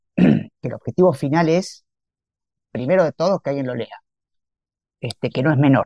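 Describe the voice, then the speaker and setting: With a Rioplatense accent, the speaker uses vocal fry and a dark, mellow tone at a moderate pace, with ordinary pitch variation, long, frequent pauses, and a dry, close sound with no echo. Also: man, fairly high pitch for a man. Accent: Argentine Spanish (rioplatense). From Argentina, Santa Fe. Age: 50s. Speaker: writer and chemical engineer. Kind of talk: interview.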